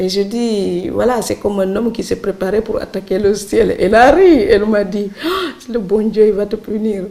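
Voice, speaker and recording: A Senegalese accent, ordinary pitch variation and hardly any pauses over noticeable background noise. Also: woman, medium pitch for a woman, moderate pace. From Senegal, Saloum islands village. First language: Serer (speaking French). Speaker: writer. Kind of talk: interview.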